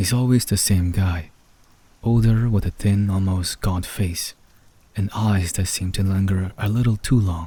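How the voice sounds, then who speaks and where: A man's fairly low, dark, mellow voice, somewhat breathy and calm in tone, with fairly even intonation at a fairly slow pace. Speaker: story narrator. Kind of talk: asmr horror story narration for sleep. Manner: soft-spoken, calm.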